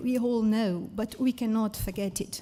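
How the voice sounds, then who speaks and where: A woman talks fairly slowly with a Portuguese accent. Her tone is dark and mellow. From Portugal. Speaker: science educator. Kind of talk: conference talk.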